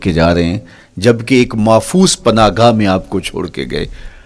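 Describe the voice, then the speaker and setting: With a plain, everyday voice, a man talks at a medium pitch with lively intonation. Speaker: Islamic preacher. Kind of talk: Islamic sermon (bayan).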